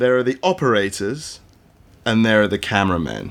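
A man talks with a British accent. His pace is moderate. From UK, partly raised in Australia and Hong Kong. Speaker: cameraman and creative director. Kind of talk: interview conversation. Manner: storyteller.

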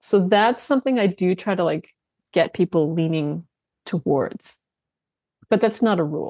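A woman with a Canadian accent speaks at a moderate pace in a medium pitch, with a dark, mellow tone, lively intonation, and long, frequent pauses. The recording is very clean and silent in the background, with a dry, close sound and no echo. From Canada. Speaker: nutrition coach and author. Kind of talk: interview.

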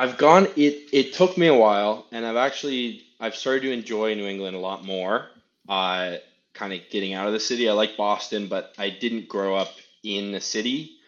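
At a moderate pace, a man with a fairly low pitch and ordinary pitch variation speaks with a slight Canadian accent. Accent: slight Canadian tinge. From Seattle, US. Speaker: rugby player. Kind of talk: casual interview.

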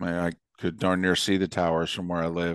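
The background stays quiet. A man talks in a very deep, low pitch. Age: 50s. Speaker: sports broadcaster. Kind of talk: casual chat.

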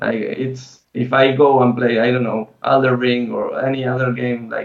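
A man with a Spanish accent speaks at a medium pitch. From Argentina. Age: 30s. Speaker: esports player and streamer. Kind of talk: interview.

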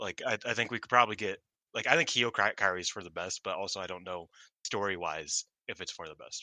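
Talking at a very fast pace, a man with a fairly low pitch shows ordinary pitch variation and big swings in loudness. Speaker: wrestling podcast co-host. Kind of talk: casual chat.

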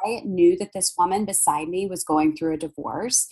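The speaker has a strong Southern US accent and ordinary pitch variation. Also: woman. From US South. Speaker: intuitive healer and palm reader. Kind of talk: casual interview chat. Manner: loud.

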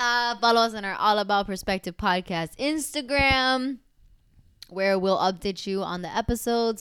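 At a moderate pace and medium pitch with ordinary pitch variation, a woman speaks in a normal speaking voice on a very clean recording with a silent background. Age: 20s. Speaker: travel podcast co-host. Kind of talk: casual chat; podcast outro. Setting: recording on vacation in Italy.

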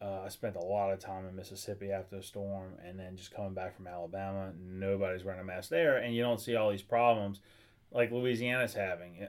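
Here is an ordinary speaking voice, moving at a fairly quick pace with fairly even intonation. Loudness swings widely, and the recording is very clean with a silent background. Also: man, fairly low pitch for a man. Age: 40s. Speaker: attorney. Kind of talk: casual chat.

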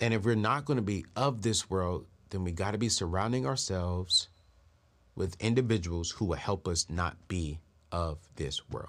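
A man speaks in a very deep, low voice with an animated tone, ordinary pitch variation and a moderate pace. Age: 30s. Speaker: personal finance show host. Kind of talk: financial advice talk to camera.

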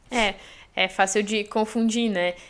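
A woman with fairly even intonation on a very clean recording with a silent background. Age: 20s. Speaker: journalist and English teacher. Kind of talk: casual chat.

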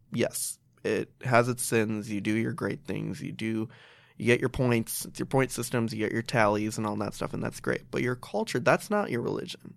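This speaker has an American accent and vocal fry, talking at a moderate pace with fairly even intonation. The recording is very clean, with a silent background. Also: man, medium pitch for a man. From Chicago, US (Pakistani family). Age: 20s. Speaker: graduate student in teaching, lifestyle blogger. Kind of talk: casual interview chat.

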